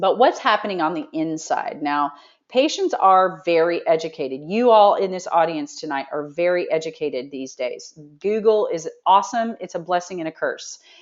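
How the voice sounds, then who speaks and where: A woman talks in a medium pitch, her intonation lively. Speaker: nurse practitioner giving a seminar. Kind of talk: health seminar presentation. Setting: talk with live audience. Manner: fast.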